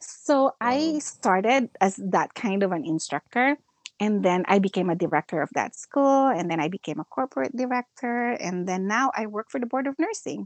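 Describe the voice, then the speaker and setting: A woman with a Filipino accent speaks at a fairly high pitch with very wide pitch swings, at a moderate pace with hardly any pauses, in a dry, close sound with no echo. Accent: Filipino English, code-switching with Tagalog. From Philippines. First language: Filipino (Tagalog). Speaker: nurse educator and school director. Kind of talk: casual interview chat. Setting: online call.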